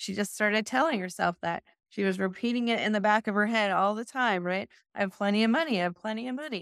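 In an American accent, a woman talks at a very fast pace with a fairly high pitch and ordinary pitch variation. The recording is very clean with a silent background and a dry, close sound with no echo. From US Midwest, North Dakota. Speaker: real estate investor and business coach. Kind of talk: interview.

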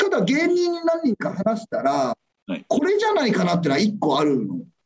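Moving in very wide pitch swings, a man's high voice goes at a moderate pace, with a dry, close sound and no echo. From Tokyo, Adachi ward. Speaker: comedian and garbage collector. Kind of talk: casual chat.

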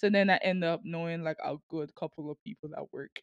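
A woman's very deep, low voice with ordinary pitch variation, in a strong Sint Maarten accent. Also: dry, close sound with no echo. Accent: strong Sint Maarten Caribbean. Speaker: university student and podcaster. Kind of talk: casual conversational interview.

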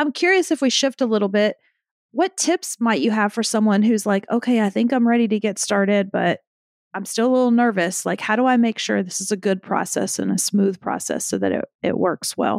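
A woman with a plain, everyday voice talks at a fairly quick pace. Her fairly high pitch comes through with a dry, close sound with no echo. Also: ordinary pitch variation. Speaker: podcast host and client. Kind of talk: casual interview chat.

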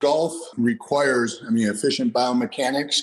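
A man talks in an ordinary speaking voice at a medium pitch. His pace is moderate and his intonation fairly even. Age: 50s. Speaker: strength and conditioning trainer. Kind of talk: interview.

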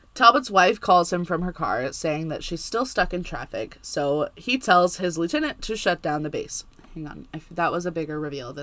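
With an unremarkable speaking voice, a woman speaks at a fairly low pitch with lively intonation, big swings in loudness and hardly any pauses. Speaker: podcast co-host, TV show recapper. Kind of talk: casual chat, podcast recap.

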